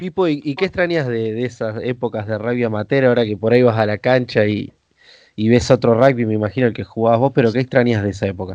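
Speech races along at a very fast pace. The pitch varies in an ordinary way over a quiet background. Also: man, medium pitch for a man. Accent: Rioplatense. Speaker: podcast host. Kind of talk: interview. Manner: halting.

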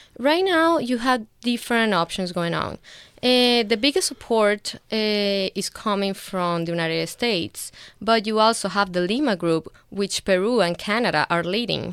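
On a very clean recording with a silent background, a woman with a Venezuelan accent speaks at a moderate pace in a medium pitch with lively intonation. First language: Spanish. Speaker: guest, lawyer and grad student.

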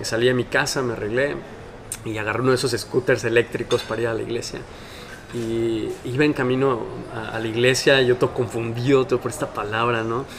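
A man talks at a fairly quick pace in a medium pitch. Noticeable background noise sits behind him. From Mexico City. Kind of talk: casual interview. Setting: in person, recorded on camera.

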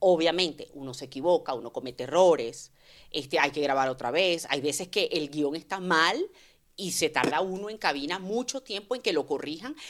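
Here a woman with a normal speaking voice talks at a fairly low pitch with lively intonation, on a very clean recording with a silent background. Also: moderate pace. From Venezuela. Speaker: voice actress. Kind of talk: casual chat.

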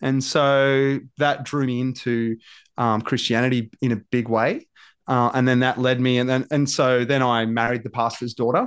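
In an Australian accent, a man speaks with monotone, flat intonation and very even loudness. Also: medium pitch for a man, moderate pace. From Australia, rural Victoria. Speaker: cafe owner and former pastor. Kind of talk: casual podcast interview.

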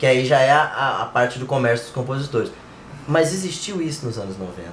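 A man with a medium pitch and lively intonation talks over noticeable background noise. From inland Brazil. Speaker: music podcast co-host. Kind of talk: casual chat. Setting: live stream.

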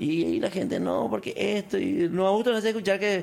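This is a man speaking. His pitch is high. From Paraguay, Canindeyú border region. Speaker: businessman. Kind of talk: casual interview.

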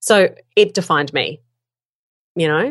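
A woman with a strong Australian accent speaks with lively intonation over a quiet background. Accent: broad Australian. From Australia, Melbourne. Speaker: podcasting teacher and voiceover artist. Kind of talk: casual chat.

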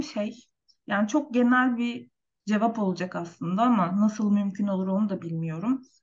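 A woman's somewhat breathy voice at a moderate pace. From Turkey. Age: 30s. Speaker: nurse. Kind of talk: interview.

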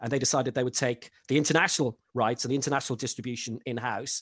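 A man with an Irish accent talks at a very fast pace, the sound dry and close with no echo against a quiet background. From Ireland, rural. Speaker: football commentator. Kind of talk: casual interview.

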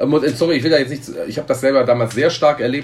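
A man speaks with ordinary pitch variation. His voice sounds somewhat breathy. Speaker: football fan representative. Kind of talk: interview.

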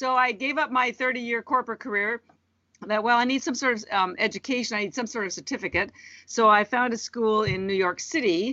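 A woman with a Canadian accent, an ordinary speaking voice, a fairly high pitch, ordinary pitch variation and a fairly quick pace. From Canada. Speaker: entrepreneur. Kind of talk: interview.

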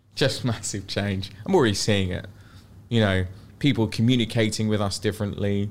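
In a London accent, a man speaks with fairly low pitch and fairly even intonation. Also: moderate pace. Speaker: luxury property agent. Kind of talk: podcast interview. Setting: studio.

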